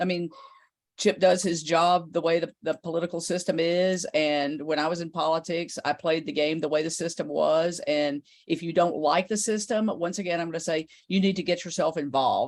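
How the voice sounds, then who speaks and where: Moderately paced, a woman's fairly low voice carries fairly even intonation in a plain, everyday voice. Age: 50s. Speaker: journalist. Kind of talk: panel discussion. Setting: video call.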